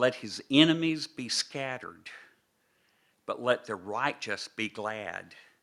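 A man's medium-pitched, bright and sharp voice with an American accent, very slow, with ordinary pitch variation and big swings in loudness, on a very clean recording with a silent background. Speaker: visiting preacher. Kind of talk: sermon. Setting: church.

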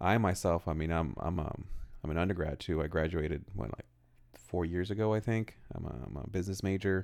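A man's very deep, low voice with vocal fry and an American accent, at a fairly quick pace with ordinary pitch variation. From California. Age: 30s. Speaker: podcast co-host. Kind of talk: casual chat.

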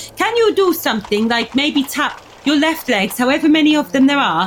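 Very wide pitch swings run through this voice, with music playing in the background. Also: woman. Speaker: tabletop role-playing game player. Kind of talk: casual chat.

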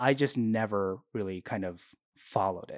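A man at a moderate pace, on a very clean recording with a silent background and a dry, close sound with no echo. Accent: American. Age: 30s. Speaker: podcast guest and YouTuber. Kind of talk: casual interview chat. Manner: hesitant, nervous.

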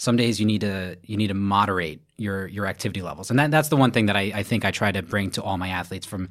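Speaking very fast in a New York accent, a man with a fairly low pitch comes through on a very clean recording with a silent background. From Brooklyn, New York. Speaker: firefighter and triathlon coach. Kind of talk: interview.

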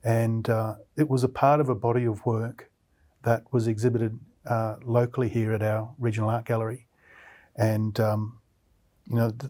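A man speaks in a dark, mellow tone at a medium pitch with flat, monotone intonation, recorded very cleanly against a silent background. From central Queensland, Australia. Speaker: artist and art lecturer. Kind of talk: interview conversation.

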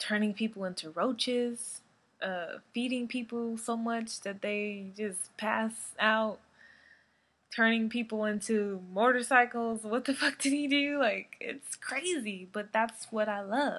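Very slow speech from a woman with a fairly high pitch, against a quiet background. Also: ordinary pitch variation. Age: 20s. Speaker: horror podcast host. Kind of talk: casual monologue. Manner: animated.

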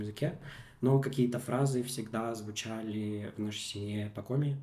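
A man of medium pitch with a dark, mellow tone, fairly even intonation and a moderate pace. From Komi Republic, Russia. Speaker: media founder and decolonial activist. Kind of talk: interview conversation. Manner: halting, many filler sounds.

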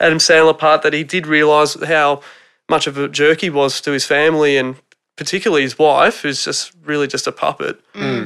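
A man with an Australian accent, a fairly high pitch and a bright, sharp tone, at a moderate pace with fairly even intonation. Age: 30s. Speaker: returning podcast guest. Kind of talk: casual chat. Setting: home theatre room.

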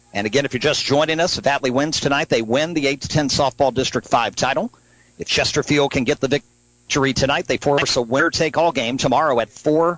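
In a plain, everyday voice, a man talks at a fairly quick pace with a fairly high pitch, ordinary pitch variation, hardly any pauses, and a dry, close sound with no echo. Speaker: radio sports announcer. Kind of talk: live sports commentary, play-by-play. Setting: outdoors at ballpark, live radio broadcast. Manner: rapid-fire, fluent play-by-play.

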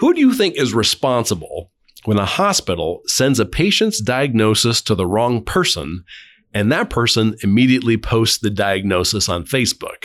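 In a plain, everyday voice, the speaker talks at a moderate pace with very even loudness and lively intonation, captured on a very clean recording against a silent background. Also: man, medium pitch for a man. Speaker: podcast host. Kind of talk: interview. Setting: outdoors.

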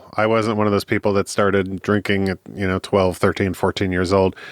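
Against a quiet background, a man with a fairly low pitch is heard in dry, close sound with no echo. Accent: Midwestern US. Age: 30s. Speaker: podcast guest, recovering drinker and counseling student. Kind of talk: interview conversation.

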